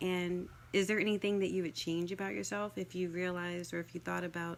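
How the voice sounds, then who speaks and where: In a very clean recording with a silent background, a soft-spoken woman with a fairly low pitch talks at a very fast pace. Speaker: life coach. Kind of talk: casual talk to camera. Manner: hesitant, many fillers.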